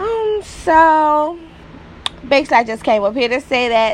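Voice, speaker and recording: A woman speaks in a high voice at a fairly slow pace. Noticeable background noise runs behind her. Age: 30s. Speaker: vlogger. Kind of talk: casual monologue. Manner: animated.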